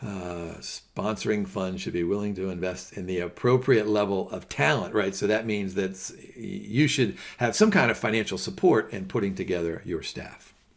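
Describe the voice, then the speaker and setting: A man speaks with hardly any pauses, his pitch fairly low with ordinary variation. The background is quiet. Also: moderate pace. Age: 60s. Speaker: professor; finance exam lecturer. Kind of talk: lecture. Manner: casual, with many fillers.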